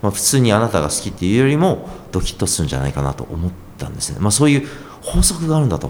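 A man speaks at a very fast pace with a fairly low pitch. His pitch swings very widely, and there is noticeable background noise. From Japan, moved around (born Yokohama). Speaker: copywriter and author. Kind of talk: interview.

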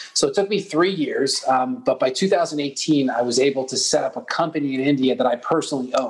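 A man at a fairly quick pace, against noticeable background noise. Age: 30s. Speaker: entrepreneur. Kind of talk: interview.

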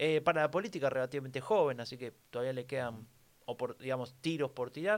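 With a Rioplatense accent, a man speaks very fast at medium pitch in a very clean recording with a silent background. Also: ordinary pitch variation. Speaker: podcast co-host. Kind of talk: casual political chat.

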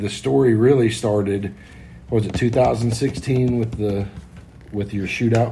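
A man speaks at a very slow pace, somewhat breathy, with fairly even intonation. Audible room echo surrounds his voice. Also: medium pitch for a man. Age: 40s. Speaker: racing crew member. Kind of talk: casual chat. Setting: condo.

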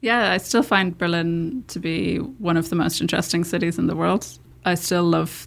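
A woman with a Dublin accent speaks at a fairly quick pace. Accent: Irish (Dublin). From Ireland, Dublin. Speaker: tech startup founder. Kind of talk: interview conversation. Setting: studio.

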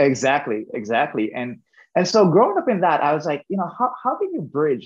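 Talking at a fairly quick pace, the man moves through very wide pitch swings. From western Jamaica, near Montego Bay. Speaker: engineer and food entrepreneur. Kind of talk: interview.

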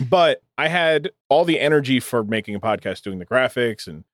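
With an American accent and lively intonation, a man speaks at a moderate pace in a normal speaking voice. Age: 20s. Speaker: streamer and podcaster. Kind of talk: casual chat.

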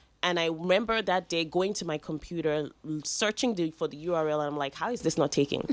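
Very fast speech comes from a woman. Her pitch varies in an ordinary way. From Nigeria. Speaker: food entrepreneur. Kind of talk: interview.

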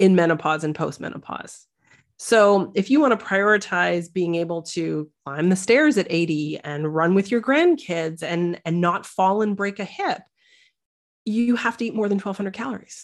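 Over a very clean recording with a silent background, a plain, everyday voice with a Canadian accent moves at a moderate pace with lively intonation. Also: woman, medium pitch for a woman. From Canada. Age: 40s. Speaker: dietitian and nutrition coach. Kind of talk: interview.

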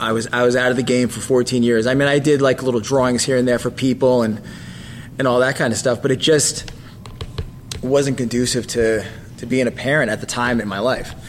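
At a fairly quick pace, a man talks in a flat monotone at medium pitch over noticeable background noise. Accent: American. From New Jersey. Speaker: comic book artist. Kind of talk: casual chat.

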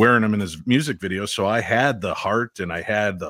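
The man speaks fairly quickly with a fairly low pitch. His sound is dry and close with no echo, on a very clean recording with a silent background. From US Midwest, Chicago. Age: 50s. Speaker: paranormal investigator and former radio DJ. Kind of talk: re-enacted late-night rock radio DJ patter, song intros and dedications; casual podcast interview chat with storytelling. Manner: smooth, warm announcer cadence rolling into the song; animated, laughing storyteller.

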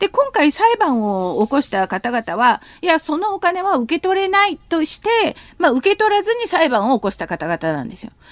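Very wide pitch swings mark speech at a moderate pace, with a dry, close sound with no echo. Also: woman. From South Korea. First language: Korean (speaking Japanese). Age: 50s. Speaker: professor. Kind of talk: radio interview, expert commentary.

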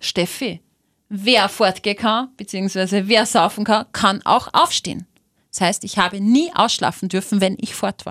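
A woman with an ordinary speaking voice talks at a moderate pace and medium pitch with ordinary pitch variation. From Austria, Linz. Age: 30s. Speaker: radio host. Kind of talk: casual chat.

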